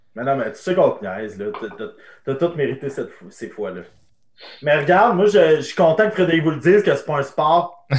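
With vocal fry and very wide pitch swings, this voice moves at a moderate pace. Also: man, fairly high pitch for a man. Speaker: podcast host. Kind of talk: casual chat. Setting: livestream on Twitch.

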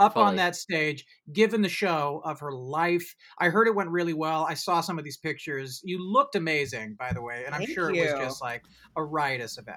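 An energetic voice with a bright, sharp tone and big swings in loudness. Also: man, fairly high pitch for a man, ordinary pitch variation, moderate pace. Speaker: podcast host. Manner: energetic, jokey.

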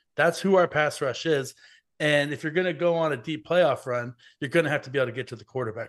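An ordinary speaking voice from a man, fairly high in pitch with ordinary pitch variation, at a fairly quick pace against a quiet background. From US, Mexican-American family. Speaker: football writer. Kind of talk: casual chat.

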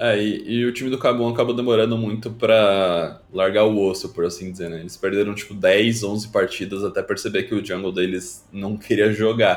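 This man has an unremarkable speaking voice with a fairly low pitch and fairly even intonation. He keeps a moderate pace with hardly any pauses. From Brazil, Rio Grande do Sul. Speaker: streamer and former pro gamer. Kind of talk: casual interview chat.

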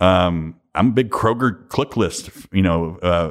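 With a Kentucky accent, a man speaks in a very deep, low pitch. His pitch moves with ordinary variation. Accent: Kentucky Southern US. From Western Kentucky. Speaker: distillers association president. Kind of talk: interview conversation. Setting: association headquarters, in person.

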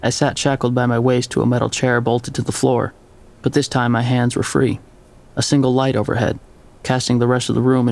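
The speaker is reading aloud in a natural voice.

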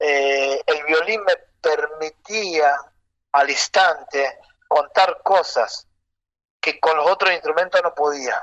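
A man's fairly high voice at a very slow pace, with long, frequent pauses and a dry, close sound free of echo. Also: ordinary pitch variation. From Argentina, Rosario and Santiago del Estero. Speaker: folk violinist. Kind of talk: interview.

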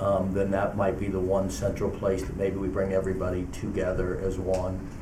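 There is noticeable background noise. A man talks at a fairly quick pace in a fairly low pitch. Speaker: township trustee chairing meeting. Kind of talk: formal public meeting. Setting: township meeting room.

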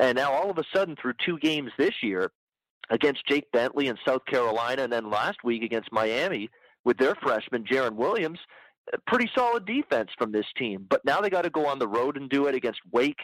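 On a very clean recording with a silent background and a dry, close sound with no echo, a man with an unremarkable speaking voice talks at a fairly quick pace, medium in pitch, with lively intonation. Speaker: sports bettor. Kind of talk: casual sports betting chat.

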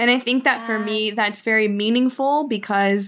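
This is an unremarkable speaking voice from a woman. Her pitch is fairly high. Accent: American. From Miami, Cuban American. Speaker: podcast co-host. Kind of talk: casual chat.

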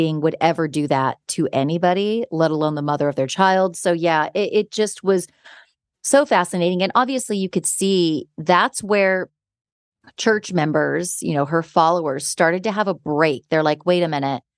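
Speaking at a moderate pace, a woman with a plain, everyday voice and fairly low pitch comes across in a dry, close sound with no echo. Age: 40s. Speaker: podcast host. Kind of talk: casual chat.

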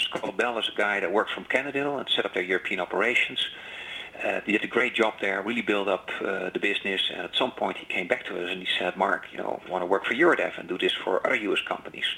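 Noticeable background noise fills the recording. Through it, a man rattles on at a very fast pace. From Netherlands. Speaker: business executive. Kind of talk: interview. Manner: halting.

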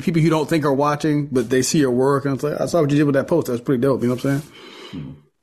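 A man talks at a very fast pace with a fairly high pitch and ordinary pitch variation over noticeable background noise. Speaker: golf podcast co-host. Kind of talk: casual chat. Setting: video call.

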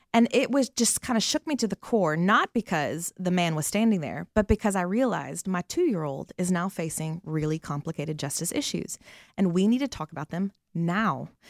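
A woman with a Southern US accent talks at a fairly quick pace, her medium pitch carried by lively intonation. The recording is very clean with a silent background and a dry, close sound with no echo. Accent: Southern American. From US South, Atlanta. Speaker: missionary. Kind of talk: interview.

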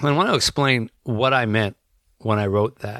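Pitch varies in an ordinary way in a natural reading voice. Everything around it is quiet.

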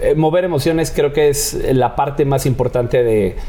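Noticeable background noise behind a man's fairly even intonation. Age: 30s. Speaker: magician. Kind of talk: casual chat.

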